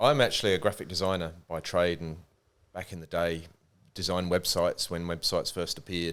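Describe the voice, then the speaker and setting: A man's voice in a very clean recording with a silent background. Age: 50s. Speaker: supplement company founder. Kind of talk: casual interview.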